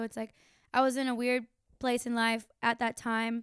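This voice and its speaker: In an American accent, a woman with a fairly high pitch speaks in a monotone, flat intonation, the sound dry and close with no echo in a very clean recording with a silent background. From Florida, Tampa. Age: 20s. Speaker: musician. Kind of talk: casual chat. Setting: home.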